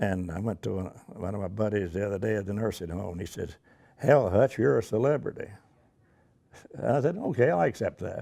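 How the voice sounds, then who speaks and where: With a fairly low pitch and a dark, mellow tone, a man talks at a fairly quick pace with lively intonation. He leaves long, frequent pauses. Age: 90s. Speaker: war veteran. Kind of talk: interview. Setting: airport event. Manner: halting.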